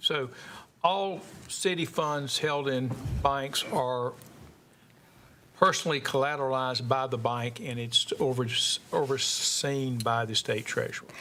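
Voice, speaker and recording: With long, frequent pauses, a man talks at a fairly slow pace in a fairly high voice with ordinary pitch variation. His loudness swings widely, and room echo is audible. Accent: Southern US. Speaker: committee chair. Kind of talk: chairing a meeting. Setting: council committee meeting.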